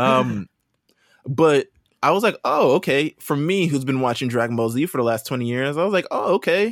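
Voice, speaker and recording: At a moderate pace, a man speaks with lively intonation and a fairly high pitch, a normal speaking voice. The sound is dry and close with no echo. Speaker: podcast host. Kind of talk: casual chat.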